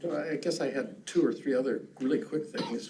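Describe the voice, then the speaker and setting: Lively intonation from a man at a moderate pace, against noticeable background noise. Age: 70s. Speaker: business improvement district board member. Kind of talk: public meeting discussion. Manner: halting.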